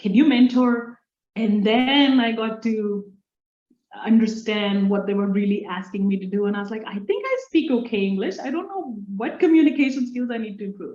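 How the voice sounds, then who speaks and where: Speaking in an Indian accent, a woman uses a fairly high pitch with ordinary pitch variation at a moderate pace. Her loudness swings widely. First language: Indian language. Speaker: engineer and STEM leader. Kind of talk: interview conversation. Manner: halting.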